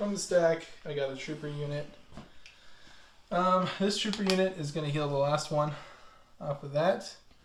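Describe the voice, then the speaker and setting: In a room with audible echo, a man speaks at a moderate pace and fairly high pitch, with ordinary pitch variation and long, frequent pauses. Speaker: tabletop wargame player. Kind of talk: casual gameplay chat.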